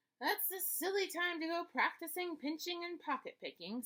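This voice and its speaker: Using a put-on character voice at extremely high pitch, a woman speaks at a moderate pace. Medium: read story. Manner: complaining.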